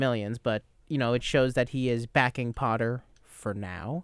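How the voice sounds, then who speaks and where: A dry, close sound with no echo, an unremarkable speaking voice, ordinary pitch variation and a very clean recording with a silent background. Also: man. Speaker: soccer radio show host. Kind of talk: casual sports panel chat. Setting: radio studio.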